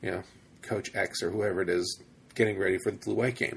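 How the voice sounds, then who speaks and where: A man's fairly low-pitched, somewhat breathy voice. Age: 30s. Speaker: college football podcast host. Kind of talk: casual chat.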